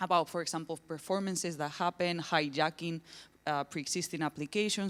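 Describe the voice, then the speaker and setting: A woman with a Spanish accent speaks at a very deep, low pitch and a fairly quick pace, with fairly even intonation. The recording is very clean, with a silent background and a dry, close sound with no echo. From southern Spain, Granada. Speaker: academic researcher and artist. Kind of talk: conference presentation. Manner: hesitant, many fillers.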